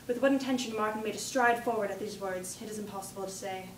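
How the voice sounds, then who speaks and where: Against noticeable background noise, a woman talks at a very fast pace, her fairly high pitch varying in an ordinary way. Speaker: contest entrant giving an oral interpretation. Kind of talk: dramatic reading of a novel excerpt.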